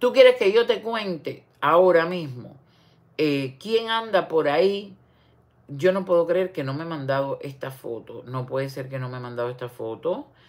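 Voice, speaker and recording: A woman speaks at a fairly low pitch and a fairly slow pace. Her pitch swings very widely. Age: 60s. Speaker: online commentator. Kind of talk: casual livestream commentary. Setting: livestream. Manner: animated. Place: home room. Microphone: phone near.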